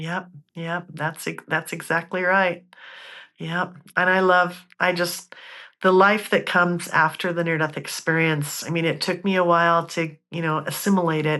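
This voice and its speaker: A woman with a bright, sharp tone and a fairly low pitch speaks at a moderate pace. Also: quiet background. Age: 60s. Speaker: near-death experiencer. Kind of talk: interview testimony. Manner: animated.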